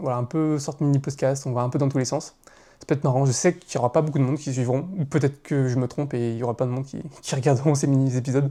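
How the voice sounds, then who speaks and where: A man's fairly high voice with a dark, mellow tone and fairly even intonation, delivered at a very fast pace on a very clean recording with a silent background. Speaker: content creator. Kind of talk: casual monologue. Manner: hesitant, filler sounds.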